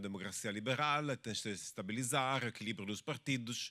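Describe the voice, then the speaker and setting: A man with a medium-pitched voice and a bright, sharp tone speaks with ordinary pitch variation on a very clean recording with a silent background. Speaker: researcher. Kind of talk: academic discussion. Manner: halting.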